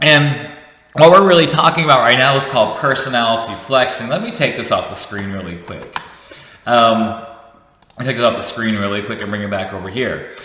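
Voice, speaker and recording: Over noticeable background noise and audible room echo, a man at medium pitch talks fairly quickly in an animated tone with lively intonation. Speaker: leadership coach, YouTuber. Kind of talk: casual teaching monologue. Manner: fast.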